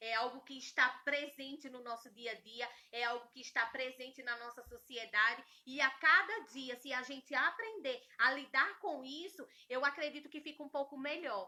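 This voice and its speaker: At a moderate pace, the voice is raised and projected, bright and sharp in tone, animated, with ordinary pitch variation and big swings in loudness. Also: woman, high pitch for a woman. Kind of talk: talk on relationships.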